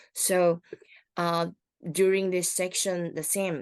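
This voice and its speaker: A woman speaks very slowly at a fairly low pitch. The sound is dry and close, with no echo and a quiet background. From Taiwan. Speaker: wheelchair basketball referee and instructor. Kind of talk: online training workshop.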